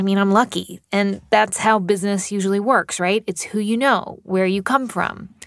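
A normal speaking voice from a woman, moderate in pace and medium in pitch. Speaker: podcast host. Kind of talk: interview.

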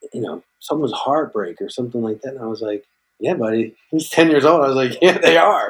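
A man with a plain, everyday voice speaks at a fairly quick pace and fairly high pitch, with lively intonation and big swings in loudness. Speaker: actor. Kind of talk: testimony.

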